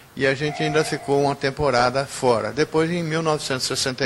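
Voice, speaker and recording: Amid noticeable background noise, a man speaks at a fairly high pitch. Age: 70s. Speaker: retired railway station master. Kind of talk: testimony.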